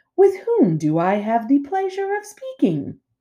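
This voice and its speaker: A high-pitched, put-on character voice at a moderate pace. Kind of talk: formal, courteous. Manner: friendly, polite.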